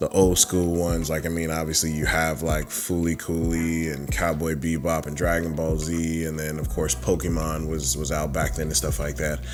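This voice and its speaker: A man's very deep, low voice with fairly even intonation at a moderate pace, hardly any pauses, audible room echo and music in the background. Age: 30s. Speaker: YouTuber discussing anime and fandom. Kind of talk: casual vlog monologue. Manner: halting, many fillers.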